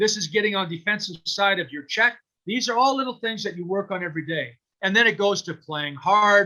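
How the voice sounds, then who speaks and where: A man with a Canadian accent uses a raised, projected voice at a high pitch, with a bright, sharp tone and a moderate pace. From Ontario, Canada (Waterloo County). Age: 60s. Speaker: hockey coach. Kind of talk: motivational talk to youth hockey team. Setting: video call.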